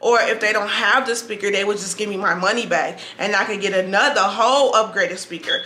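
At a moderate pace, a woman speaks with audible room echo. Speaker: vlogger. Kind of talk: casual vlog chat, product review. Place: home room. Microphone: camera far.

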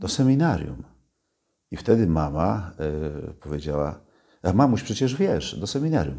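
A man with a dark, mellow tone and vocal fry talks at a moderate pace, his pitch swinging very widely. The background is quiet. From Poland, Gdańsk (Kashubian mother); Poland. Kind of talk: interview. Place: home room.

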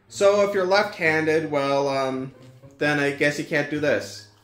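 Faint music plays in the background of this echoing room as the speaker talks at a moderate pace. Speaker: toy reviewer. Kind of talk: casual review talk. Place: home room.

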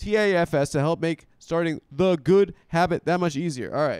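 A high-pitched man at a moderate pace, dry sound with no echo and a quiet background. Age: 30s. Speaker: comedian and podcast host; comedian, podcast host. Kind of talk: casual chat. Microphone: handheld.

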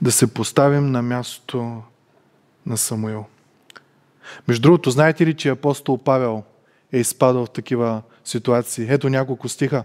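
The background is quiet as a man speaks at a moderate pace. His intonation is fairly even, with long, frequent pauses. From Bulgaria. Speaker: preacher. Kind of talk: sermon. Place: church. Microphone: headset.

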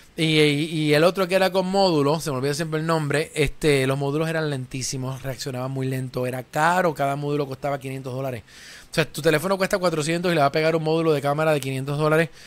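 The man talks at a very fast pace with fairly even intonation. His pitch sits fairly high. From Puerto Rico. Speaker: tech show host. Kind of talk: live tech talk show. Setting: radio/TV studio. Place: studio. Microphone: studio mic.

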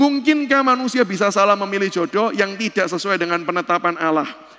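The voice is raised and projected, with ordinary pitch variation. The pace is very fast. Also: man. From Indonesia. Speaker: speaker. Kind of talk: church seminar lecture. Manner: conversational, addresses audience directly. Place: church.

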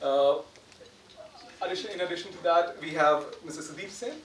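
There is audible room echo as a man with a fairly high pitch talks at a moderate pace, with ordinary pitch variation.

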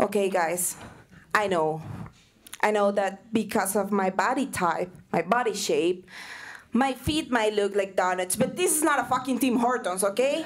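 A woman talks at a moderate pace with lively intonation. The background is quiet. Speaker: stand-up comedy student. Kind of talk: stand-up comedy set. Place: stage. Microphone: handheld.

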